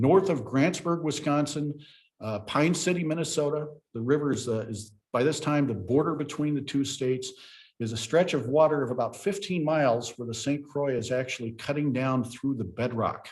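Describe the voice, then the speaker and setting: A man speaks in a fairly high pitch with ordinary pitch variation. His voice is somewhat breathy and his pace is moderate. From US Ozarks. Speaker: park ranger. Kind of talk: presentation.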